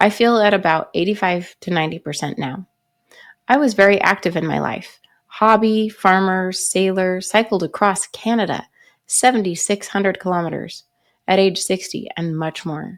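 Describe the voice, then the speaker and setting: In a very clean recording with a silent background, a woman talks at a moderate pace in a plain, everyday voice. Her pitch is medium, with ordinary pitch variation. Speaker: pharmacist. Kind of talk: reading a viewer's written story aloud.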